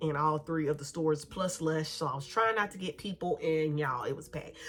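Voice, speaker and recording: At a moderate pace, a woman speaks with a fairly low pitch and ordinary pitch variation over noticeable background noise. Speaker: beauty and shopping vlogger. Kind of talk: casual haul vlog chat. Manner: animated.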